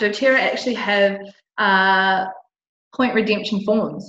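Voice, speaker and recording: At a fairly slow pace, a woman with an Australian accent talks at a medium pitch with ordinary pitch variation. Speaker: essential oil distributor. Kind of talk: tutorial.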